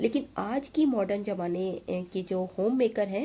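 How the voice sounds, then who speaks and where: Very slow and somewhat breathy, the voice has a dark, mellow tone and ordinary pitch variation on a very clean recording with a silent background. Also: woman. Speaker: homemaker lifestyle vlogger. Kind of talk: tutorial. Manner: hesitant with fillers.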